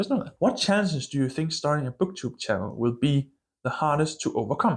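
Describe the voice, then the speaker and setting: A man talks at a fairly quick pace with a fairly high pitch and very wide pitch swings. The recording is very clean, with a silent background. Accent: strong Danish. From Denmark. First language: Danish. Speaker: book channel vlogger. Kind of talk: casual vlog monologue. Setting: filming alone to camera. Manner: casual, hesitant with fillers.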